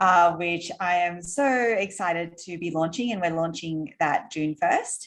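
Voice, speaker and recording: A woman with an Australian accent, fairly low pitch, ordinary pitch variation and a fairly slow pace. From Australia, Sydney. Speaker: entrepreneur. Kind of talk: interview conversation. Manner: animated.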